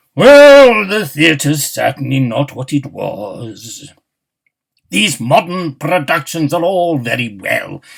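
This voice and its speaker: Put-on character voice from a man, fairly high-pitched and fairly slow. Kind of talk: hammy old stage actor. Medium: read story. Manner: grandiose, nostalgic.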